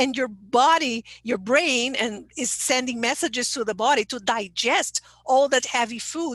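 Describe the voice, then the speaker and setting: With a Portuguese accent, a woman speaks at a fairly slow pace in a high pitch, with ordinary pitch variation and hardly any pauses. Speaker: English teacher trainer. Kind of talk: webinar talk. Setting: online webinar.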